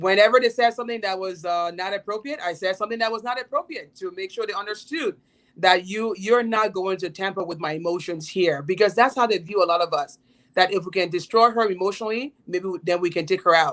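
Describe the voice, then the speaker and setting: A woman races along very fast at a medium pitch, her pitch varying in an ordinary way. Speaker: politician and philanthropist. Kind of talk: panel discussion.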